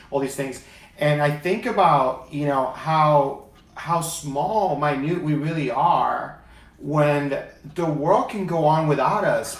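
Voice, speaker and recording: Over noticeable background noise, a man with a fairly high pitch talks at a very slow pace with ordinary pitch variation. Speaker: talk show host, inspirational speaker. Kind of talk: talk show host interview.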